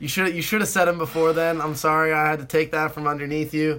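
With an American accent, the speaker's tone comes across bright and sharp. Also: man. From US West Coast. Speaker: student podcast co-host. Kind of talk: casual chat.

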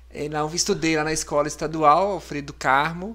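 This man speaks at a fairly quick pace with a fairly high pitch, a bright, sharp tone and fairly even intonation. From Minas Gerais, Brazil (Amparo do Serra). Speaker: physician, ICU coordinator. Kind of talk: casual interview. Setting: studio, live podcast.

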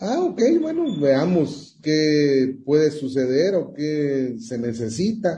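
With a dark, mellow tone, a somewhat breathy man talks very slowly with hardly any pauses, at a fairly high pitch and with ordinary pitch variation. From Guatemala. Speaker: music industry manager. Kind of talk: radio interview.

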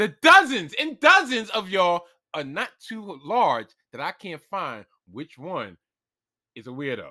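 A man projects his voice in a raised, high pitch, bright and sharp in tone, with very wide pitch swings and big swings in loudness. Long, frequent pauses break up his speech on a very clean recording with a silent background. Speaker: podcast host. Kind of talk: casual chat. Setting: home studio. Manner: rambling, goes on tangents.

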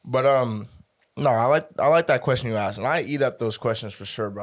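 A man with a normal speaking voice talks at a fairly quick pace, a medium pitch and ordinary pitch variation, in a very clean recording with a silent background. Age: 20s. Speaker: podcast host. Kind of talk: casual chat.

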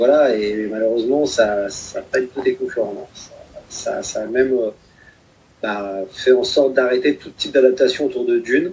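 Long pauses coming often, a man at a moderate tempo, his loudness swinging widely. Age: 30s. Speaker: science fiction columnist and podcaster. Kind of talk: casual interview.

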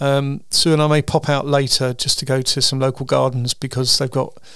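A man speaks at a medium pitch. His voice has vocal fry. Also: fairly bright tone.

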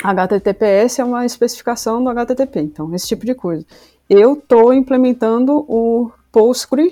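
The woman's voice is high-pitched with a dark, mellow tone. The recording is very clean, with a silent background. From Brazil, Rio Grande do Sul and Salvador, Bahia. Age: 30s. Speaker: software developer intern. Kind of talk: casual podcast interview.

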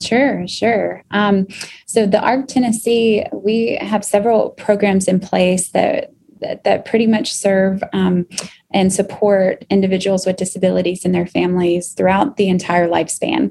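Speaking at a fairly slow pace, a woman uses fairly even intonation and a medium pitch, her dark, mellow tone somewhat breathy. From Kentucky, US. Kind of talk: podcast interview.

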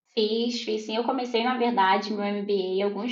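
The voice is a plain, everyday voice, speaking at a fairly slow pace with fairly even intonation. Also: woman. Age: 30s. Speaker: product owner. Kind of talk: interview.

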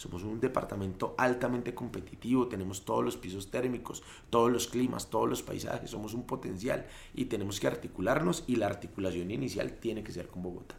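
A man talks at a fairly quick pace with vocal fry in his voice. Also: medium pitch for a man, ordinary pitch variation. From Colombia, Cundinamarca (Mosquera, Sabana Occidente). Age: 30s. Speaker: politician, gubernatorial candidate. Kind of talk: interview, campaign talk.

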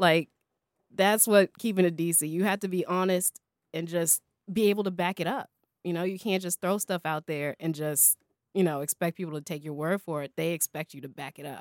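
On a very clean recording with a silent background and a dry, close sound with no echo, a woman at a fairly low pitch speaks in a plain, everyday voice with an American accent. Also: ordinary pitch variation. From Colorado. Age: young. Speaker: former education worker. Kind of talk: casual chat.

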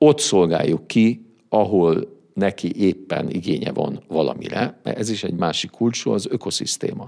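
A man's dark, mellow tone. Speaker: business consultant. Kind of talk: interview. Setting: studio.

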